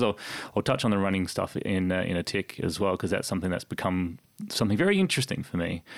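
A man is speaking. He has an Australian accent. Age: 30s. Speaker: sports announcer. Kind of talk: casual chat. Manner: halting.

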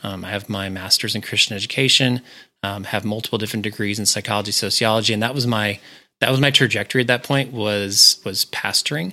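This man talks at a fairly quick pace in a fairly low pitch with a bright, sharp tone. His intonation is fairly even, and the recording is very clean with a silent background. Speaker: entrepreneur and business coach. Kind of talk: interview conversation.

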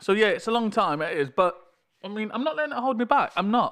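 A man speaks with a British accent at a fairly quick pace. His intonation is lively. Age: 30s. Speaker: podcaster. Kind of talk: casual monologue. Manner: halting. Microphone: levels may be too loud or quiet.

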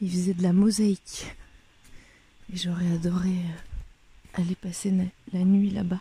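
A woman's medium-pitched, dark, mellow, somewhat breathy voice, monotone and flat in intonation, at a fairly slow pace with long, frequent pauses. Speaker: travel podcaster walking a pilgrimage. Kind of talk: travel diary monologue.

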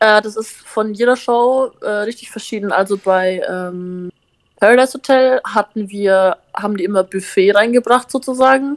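A woman speaks in a normal speaking voice at a fairly high pitch with ordinary pitch variation. Her moderate pace comes through in a dry, close sound with no echo. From Upper Franconia, Bavaria (Bamberg area). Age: 19. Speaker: influencer and reality TV participant. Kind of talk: casual chat.

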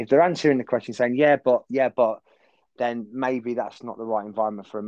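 Speaking at a very fast pace, a man holds a fairly even intonation. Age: 40s. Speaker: sports coach and former footballer. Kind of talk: casual chat.

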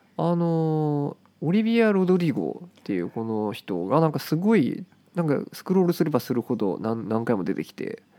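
A man's fairly high voice at a moderate pace, full of very wide pitch swings. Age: 20s. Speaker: podcast co-host. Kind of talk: casual chat.

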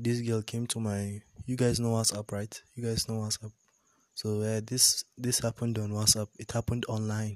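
Over a very clean recording with a silent background, a man of medium pitch speaks in a monotone, flat intonation at a moderate pace, the sound dry and close with no echo. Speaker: solo podcaster. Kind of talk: casual monologue.

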